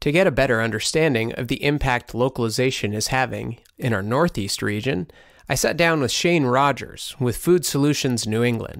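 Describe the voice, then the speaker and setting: A plain, everyday voice speaks at a moderate pace on a very clean recording with a silent background. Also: man, medium pitch for a man, ordinary pitch variation. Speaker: podcast host. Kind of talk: scripted narration.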